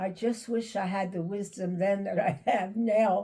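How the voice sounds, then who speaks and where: Speaking very slowly, a woman with a New York accent uses a medium pitch. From Brooklyn, New York. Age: 90s. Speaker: elder sharing life stories. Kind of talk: interview. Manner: halting.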